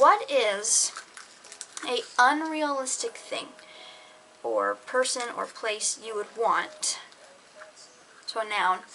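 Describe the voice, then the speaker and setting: A woman speaks very slowly, leaving long, frequent pauses, while noticeable background noise carries on behind her. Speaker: YouTuber. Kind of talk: casual vlog monologue. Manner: halting, self-correcting.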